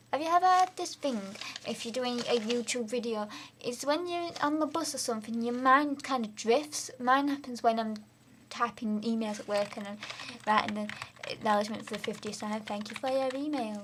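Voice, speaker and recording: Talking at a fairly quick pace, a woman uses lively intonation and a high pitch over noticeable background noise. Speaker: vlogger. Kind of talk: casual vlog monologue. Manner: rambling, unplanned.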